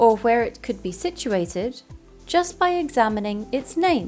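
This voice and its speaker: Music plays behind a voice whose pitch swings very widely at a fairly slow pace. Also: woman. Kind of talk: educational narration.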